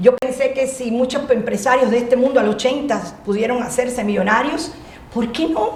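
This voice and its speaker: A woman with a Cuban accent speaks in a high pitch with ordinary pitch variation, with audible room echo and noticeable background noise. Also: moderate pace. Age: 60s. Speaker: motivational speaker. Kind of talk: interview. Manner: loud; animated.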